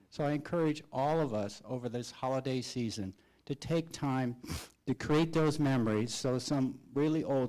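Over a silent background in a very clean recording, a man speaks at a moderate pace in a dark, mellow tone. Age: 60s. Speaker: school board member. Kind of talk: public meeting remarks. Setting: board meeting.

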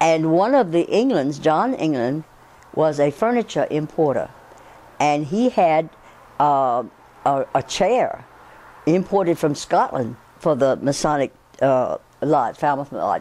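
Speaking at a fairly slow pace with long, frequent pauses, a woman uses lively intonation and a very deep, low pitch. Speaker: interviewee. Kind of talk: interview answer. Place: home room. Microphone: lapel.

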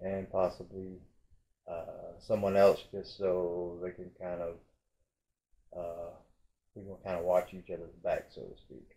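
The pace stays fairly slow. It is a man talking. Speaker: vlogger. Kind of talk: casual vlog chat. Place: home room. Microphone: phone near.

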